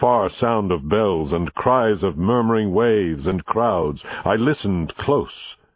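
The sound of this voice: An unforced reading voice is heard throughout the recording.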